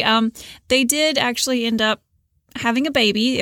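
A woman with an ordinary speaking voice talks at a fairly high pitch with ordinary pitch variation. The recording is very clean and dry, close with no echo, over a silent background. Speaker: podcast host. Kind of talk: scripted narration.

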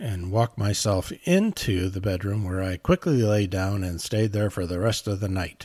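A man talks in an unremarkable speaking voice, fairly low in pitch, at a fairly slow pace. His intonation is fairly even, and the recording is very clean with a silent background. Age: 50s. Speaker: parenting advice vlogger. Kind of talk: casual monologue. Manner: conversational with frequent fillers.

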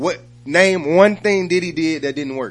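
This man has a normal speaking voice pitched fairly high. He talks at a fairly slow pace with lively intonation. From Atlanta, US South. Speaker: rapper. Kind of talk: casual interview chat.

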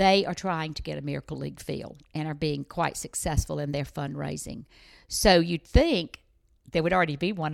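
In a very clean recording with a silent background, a woman with a Southern US accent speaks in a very deep, low pitch, with vocal fry and big swings in loudness. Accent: Southern US (Georgia). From US South, Georgia. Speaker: life coach. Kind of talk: interview. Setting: in person at guest's home.

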